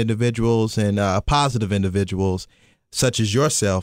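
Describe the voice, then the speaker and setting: A man speaks with a Kentucky accent. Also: dry, close sound with no echo, very clean recording, silent background. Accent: Southern US (Kentucky). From US South, Kentucky. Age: 20s. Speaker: actor and media professional. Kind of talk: casual interview. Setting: studio, in person.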